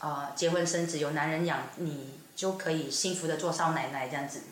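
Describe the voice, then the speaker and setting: In a room with audible echo and noticeable background noise, a woman speaks at a fairly low pitch with fairly even intonation. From Sabah, East Malaysia. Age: 20s. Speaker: performing artist. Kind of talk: casual chat.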